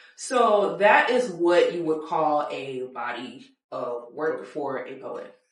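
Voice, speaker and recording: A woman speaks with a fairly low pitch and very wide pitch swings. Audible room echo surrounds her voice. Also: big swings in loudness. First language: French. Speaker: podcast host. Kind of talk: casual interview.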